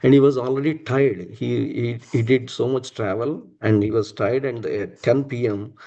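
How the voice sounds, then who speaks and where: Medium in pitch and dark, mellow in tone, a man speaks with a Telugu accent and ordinary pitch variation. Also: moderate pace. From India, Andhra Pradesh (Visakhapatnam). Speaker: religious devotee sharing personal memories. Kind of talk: testimony. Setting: live-streamed temple program. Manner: halting, many fillers.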